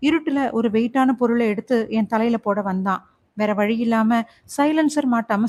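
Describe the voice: The delivery is plain reading aloud. Pitch varies in an ordinary way.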